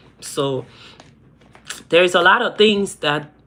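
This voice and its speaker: A woman's voice with ordinary pitch variation. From Liberia, West Africa. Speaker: YouTuber. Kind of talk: live stream chat. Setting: livestream. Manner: repetitive.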